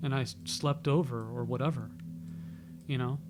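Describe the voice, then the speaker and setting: Over music in the background, a man with an American accent talks at a fairly high pitch for a man. His pitch swings very widely. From New York City. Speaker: YouTuber. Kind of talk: casual monologue. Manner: halting.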